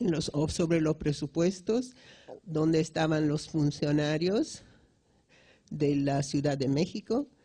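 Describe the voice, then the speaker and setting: This woman has a very deep, low pitch and a dark, mellow tone, with ordinary pitch variation. She speaks at a very slow pace with very even loudness. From Italy. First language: Italian (speaking Spanish). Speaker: economics professor. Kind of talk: lecture. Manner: halting, many restarts.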